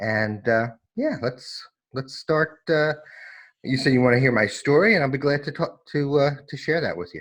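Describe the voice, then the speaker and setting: In an ordinary speaking voice, the speaker moves at a moderate pace with lively intonation. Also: man, fairly high pitch for a man. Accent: American. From New York, US. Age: 60s. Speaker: recovery specialist, former lawyer. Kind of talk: personal testimony interview. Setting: remote call.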